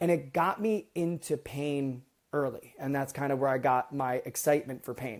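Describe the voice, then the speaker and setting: In a very clean recording with a silent background, a man with an American accent speaks in a fairly high voice with ordinary pitch variation. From US East Coast. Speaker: medical device product manager. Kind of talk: podcast interview. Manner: fast.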